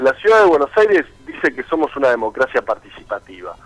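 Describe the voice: A man speaks at a fairly quick pace and a medium pitch. His voice moves in big pitch swings.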